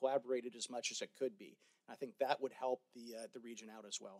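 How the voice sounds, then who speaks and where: A man talks at a fairly quick pace. Behind him, the background stays quiet. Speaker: venture capitalist; panelist. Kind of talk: panel discussion. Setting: stage with audience. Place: hall.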